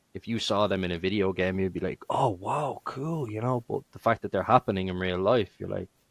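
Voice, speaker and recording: The voice has a Dublin accent, a moderate pace and ordinary pitch variation, heard dry and close with no echo. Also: man. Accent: Dublin Irish. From Ireland, Dublin. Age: 30s. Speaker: gamer and streamer. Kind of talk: podcast interview. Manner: halting, many fillers.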